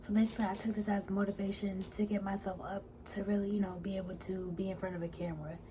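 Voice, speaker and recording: A woman's medium-pitched voice in a monotone, flat intonation, over noticeable background noise. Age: 20s. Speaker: vlogger sharing cancer journey. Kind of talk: personal vlog.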